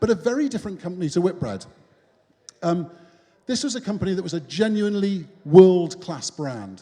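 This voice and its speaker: The speech moves at a fairly quick pace with ordinary pitch variation and a dark, mellow tone. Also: man. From northern England, Newcastle (Geordie). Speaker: business founder, keynote speaker. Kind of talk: keynote speech. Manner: casual, conversational.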